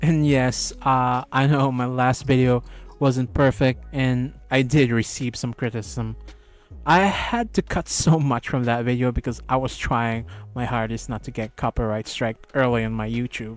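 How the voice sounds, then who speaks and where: Music plays in the background. The speaker has a non-native accent. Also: fairly slow pace. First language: not English. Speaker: YouTuber, Gunpla hobby commentator. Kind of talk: scripted video commentary.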